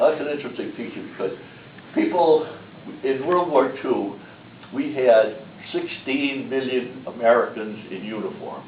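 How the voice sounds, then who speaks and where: Pitched fairly high, a man talks at a moderate pace with ordinary pitch variation, big swings in loudness, and long, frequent pauses. Room echo is audible, and background noise is noticeable. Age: 90s (80s+). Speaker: war veteran. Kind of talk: presentation talk. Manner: halting, with fillers.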